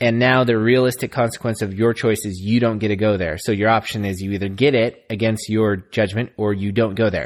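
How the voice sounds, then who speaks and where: This man has an ordinary speaking voice, fairly low in pitch. He talks at a fairly quick pace with hardly any pauses against a quiet background. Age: 30s. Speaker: podcast co-host. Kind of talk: casual chat.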